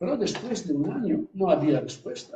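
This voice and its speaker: Speaking with an Italian accent, a man uses lively intonation and a dark, mellow tone at a moderate pace. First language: Italian (speaking Spanish). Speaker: priest and hospital chaplain. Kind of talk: interview. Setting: live event with audience, streamed on Zoom. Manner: halting.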